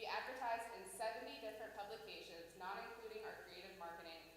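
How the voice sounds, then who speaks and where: A woman talks at a very fast pace and a fairly high pitch, with ordinary pitch variation. Noticeable background noise and audible room echo fill the recording. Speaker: tourism organization staff presenter. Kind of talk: report presentation to city council. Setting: city council meeting. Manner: formal.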